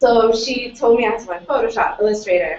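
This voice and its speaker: A woman with an American accent, fairly high in pitch, at a moderate pace. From US West Coast, San Jose California. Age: 20s. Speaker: seminar speaker. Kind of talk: seminar talk. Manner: casual, lots of fillers.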